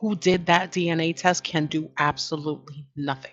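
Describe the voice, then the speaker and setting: A woman with a New York accent speaks at a fairly low pitch. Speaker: online commentary host. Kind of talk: casual monologue commentary. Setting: at home. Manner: conversational, with fillers and restarts.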